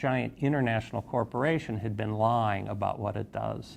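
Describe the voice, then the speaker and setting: Here a man speaks in an American accent at a medium pitch. His pace is moderate, with ordinary pitch variation. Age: 60s. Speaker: investigative journalist. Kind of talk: interview testimony. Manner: halting, many fillers and repetitions.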